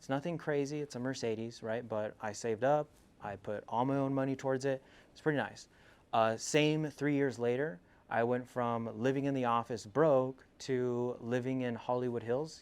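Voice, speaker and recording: A man talks at a moderate pace with a medium pitch and fairly even intonation, a plain, everyday voice. The background is quiet. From California, US (Selma, Central Valley). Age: 20s. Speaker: entrepreneur giving a talk. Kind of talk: motivational school presentation.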